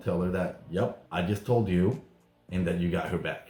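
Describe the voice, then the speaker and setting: Intonation stays fairly even throughout. A non-native accent comes through. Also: man. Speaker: YouTuber recapping reality TV. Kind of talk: casual vlog recap.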